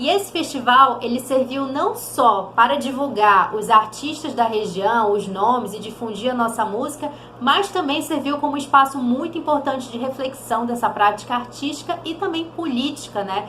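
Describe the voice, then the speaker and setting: A woman with a high, raised and projected voice talks at a moderate pace with lively intonation and hardly any pauses, with audible room echo and noticeable background noise. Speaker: theatre educator, channel host. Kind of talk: educational vlog.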